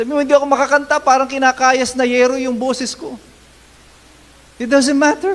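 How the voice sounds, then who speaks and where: This man's voice is extremely high in pitch, broken up by long, frequent pauses. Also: fairly even intonation. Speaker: pastor. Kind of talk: sermon. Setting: church.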